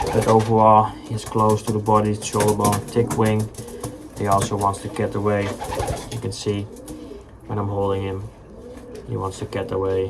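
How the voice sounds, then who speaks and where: The speaker has a Dutch accent and leaves long, frequent pauses. Noticeable background noise runs underneath. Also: moderate pace. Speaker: pigeon fancier. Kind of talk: casual tutorial.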